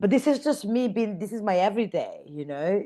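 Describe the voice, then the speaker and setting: Over a quiet background, a woman with an Italian accent speaks at a fairly quick pace with lively intonation. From northern Italy (Mantua). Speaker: fashion stylist and creative director. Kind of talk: interview chat. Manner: many fillers, searching for words.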